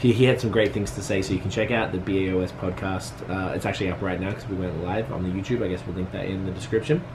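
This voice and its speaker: A man with a very deep, low voice talks at a very fast pace with hardly any pauses and ordinary pitch variation, over noticeable background noise. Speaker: vlogger and business owner. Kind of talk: casual vlog talk to camera. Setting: at home.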